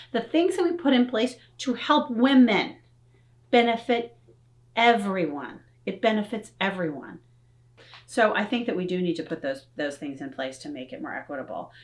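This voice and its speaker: A woman with a fairly high pitch and vocal fry sounds animated, her pitch swinging very widely and her loudness changing greatly, with long, frequent pauses. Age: middle-aged. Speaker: professor. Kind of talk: interview. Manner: fast.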